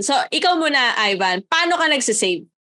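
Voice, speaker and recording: At a moderate pace, a woman with a high pitch uses a raised, projected voice with a bright, sharp tone and very wide pitch swings. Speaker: podcast co-host. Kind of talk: casual chat.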